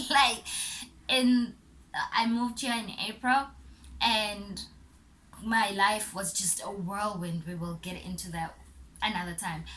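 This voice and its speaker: A woman speaks at a fairly slow pace and medium pitch, with ordinary pitch variation. Her loudness swings widely, and she takes long, frequent pauses. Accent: South African. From South Africa, Port Elizabeth. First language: Zulu. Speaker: YouTuber. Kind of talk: casual vlog. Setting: home recording.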